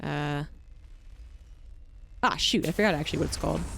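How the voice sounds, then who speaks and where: A woman with a Mid-Atlantic American accent and ordinary pitch variation, over music in the background. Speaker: esports caster. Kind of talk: live commentary. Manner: fast.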